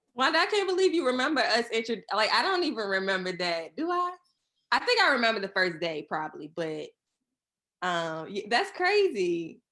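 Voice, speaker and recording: In a Southern Virginia accent, a woman with a fairly high pitch and a bright, sharp tone moves at a moderate pace through very wide pitch swings. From Virginia, Surry County. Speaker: guest, university alumna. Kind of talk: casual interview chat.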